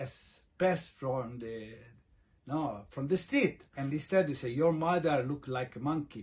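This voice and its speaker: A man with an Italian accent, somewhat breathy and fairly high in pitch, at a moderate pace with ordinary pitch variation. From Italy. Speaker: expat vlogger. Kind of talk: casual talk to camera. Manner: halting, many fillers.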